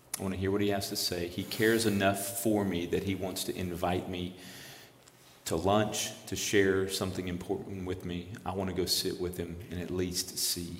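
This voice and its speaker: A man's very deep, low-pitched monotone with flat intonation, in audible room echo. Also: moderate pace. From South Louisiana, Lafayette (Cajun area). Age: 50s. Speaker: campus ministry missionary. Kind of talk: interview testimony.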